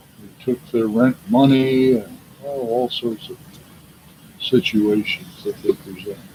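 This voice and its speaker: Fairly slow and medium-pitched, a man speaks with ordinary pitch variation. Noticeable background noise sits underneath. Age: 70s. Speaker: retired prison worker giving religious talks. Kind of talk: casual religious monologue.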